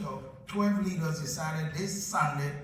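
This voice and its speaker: Against noticeable background noise and audible room echo, a man talks with a fairly high pitch and ordinary pitch variation. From Liberia. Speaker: bishop. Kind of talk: speech at a public event. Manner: halting, many repeated words.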